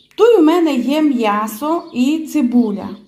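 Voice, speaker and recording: A woman with a Transcarpathian accent and very wide pitch swings. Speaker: home cook. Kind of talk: cooking tutorial. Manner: casual, chatty.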